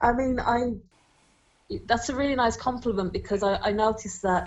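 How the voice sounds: A woman speaks with a fairly high pitch. Her tone is slightly mellow.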